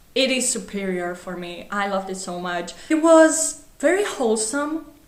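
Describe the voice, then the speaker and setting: A woman with a Greek accent and a fairly high pitch speaks at a fairly slow pace. Audible room echo and noticeable background noise are present. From Greece. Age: 20s. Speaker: book vlogger. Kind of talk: casual book review vlog. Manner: animated.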